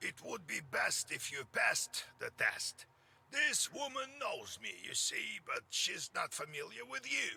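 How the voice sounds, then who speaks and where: A man speaks at a fairly slow pace in a put-on character voice. His voice is raspy. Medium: video game. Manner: blunt, sly.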